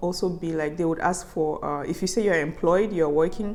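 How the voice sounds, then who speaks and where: A woman's fairly low, fairly even voice with music in the background. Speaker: vlogger. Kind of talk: casual vlog monologue.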